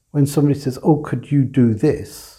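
A somewhat breathy male voice with an English accent, fairly high pitch and a dark, mellow tone. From England. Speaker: supply chain executive. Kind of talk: interview.

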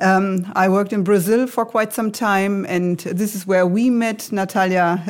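A plain, everyday voice, fairly even in intonation, moving at a moderate pace. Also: woman. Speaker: IT executive. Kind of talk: corporate podcast interview.

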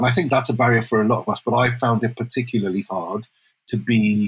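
A man with a medium pitch talks at a moderate pace. His voice is somewhat breathy. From Wales. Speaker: immersive strategist and storyteller. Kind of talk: interview conversation.

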